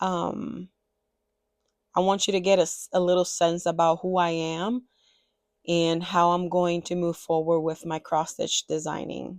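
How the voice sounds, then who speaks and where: In a Spanish accent, a woman with a fairly low pitch speaks at a fairly slow pace in a monotone, flat intonation, with long, frequent pauses. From Dominican Republic, Santiago. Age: 30s. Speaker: cross-stitch designer and video creator. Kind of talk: personal introduction vlog, partly read aloud. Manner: partly reading from a script.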